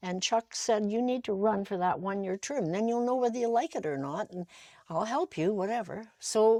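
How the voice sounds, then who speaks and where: A woman with a Canadian accent, fairly high in pitch and dark, mellow in tone, at a moderate pace with ordinary pitch variation, in a dry, close sound with no echo over a quiet background. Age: 80s+. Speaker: former mayor. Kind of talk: interview.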